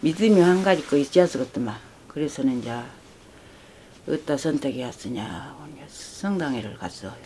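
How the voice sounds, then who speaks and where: A woman talks at a moderate pace in a very deep, low voice with very wide pitch swings. Her loudness varies greatly, and she takes long, frequent pauses. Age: 80s+. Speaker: rural villager making makgeolli. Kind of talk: casual conversation at home.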